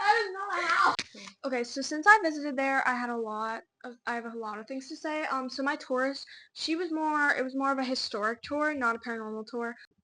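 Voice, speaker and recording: A woman with a high voice speaks in a raised, projected way at a fairly quick pace. Her intonation is lively, and her loudness swings widely. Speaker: podcast co-host. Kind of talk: casual chat. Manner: fast.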